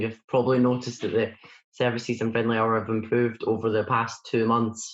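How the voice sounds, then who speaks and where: A man with a Scottish accent talks at a fairly quick pace and a medium pitch. His intonation stays monotone and flat. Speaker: church volunteer video editor. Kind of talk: casual Q&A chat. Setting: recorded at home for online service. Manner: fast.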